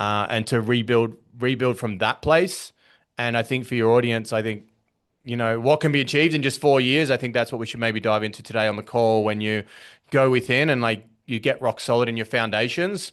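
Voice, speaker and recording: At a fairly quick pace, a man with an Australian accent talks at a medium pitch with ordinary pitch variation. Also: quiet background. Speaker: business coach. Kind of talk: podcast interview. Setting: podcast call. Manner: conversational, with frequent fillers and repetitions.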